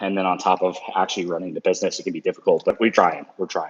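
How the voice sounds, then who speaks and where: A man talks at a very fast pace. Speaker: junk removal business owner. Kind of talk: casual vlog talk. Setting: outdoors walking. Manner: hesitant, filler words.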